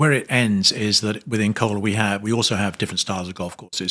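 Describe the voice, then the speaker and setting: In a British accent, the speaker goes at a fairly quick pace with a bright, sharp tone on a very clean recording with a silent background. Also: man. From England, North London. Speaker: hospitality executive. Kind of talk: interview. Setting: trade conference. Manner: hesitant, many fillers.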